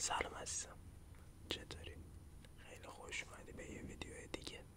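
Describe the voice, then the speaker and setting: Someone whispers. The pace is moderate. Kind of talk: ASMR face massage roleplay.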